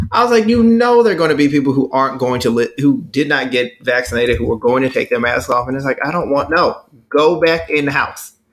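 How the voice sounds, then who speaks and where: A man with an American accent at a very fast pace, his fairly high pitch in very wide pitch swings, with hardly any pauses. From Texas. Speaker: podcast co-host. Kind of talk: casual chat.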